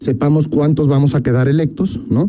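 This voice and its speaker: Against noticeable background noise, a man talks at a fairly quick pace, his fairly high pitch held in fairly even intonation. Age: 30s. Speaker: politician, congressional candidate. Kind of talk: radio interview.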